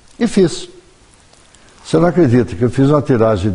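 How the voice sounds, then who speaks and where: A man talks at a moderate pace with a medium pitch and lively intonation. Noticeable background noise sits behind him. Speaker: journalist and writer. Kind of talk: TV interview.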